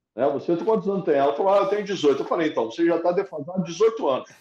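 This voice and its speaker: This is a man's voice, high in pitch. The tone is dark and mellow. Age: 60s. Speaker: economics professor. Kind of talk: interview conversation.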